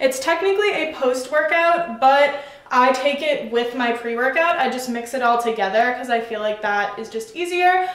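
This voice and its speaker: A woman talks at a moderate pace with a high pitch and ordinary pitch variation. There is audible room echo and noticeable background noise. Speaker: fitness vlogger. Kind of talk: casual product review vlog. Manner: casual, chatty.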